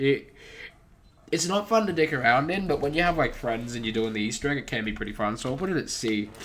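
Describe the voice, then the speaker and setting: This man speaks very fast in a fairly high pitch. His pitch swings very widely. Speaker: gaming youtuber. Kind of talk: casual commentary. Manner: casual, hesitant with fillers.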